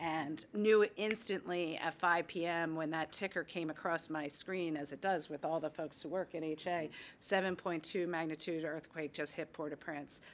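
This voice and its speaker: A woman in a normal speaking voice, fairly low in pitch with fairly even intonation at a moderate pace, on a very clean recording with a silent background. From US Northeast, Philadelphia. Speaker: nonprofit executive, former development official. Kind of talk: career talk to an audience.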